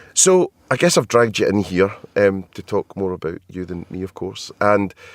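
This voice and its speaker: In a Scottish accent, the speaker moves at a moderate pace with big swings in loudness, the sound dry and close with no echo. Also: man. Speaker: podcast host. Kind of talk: casual interview chat. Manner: hesitant, many ums.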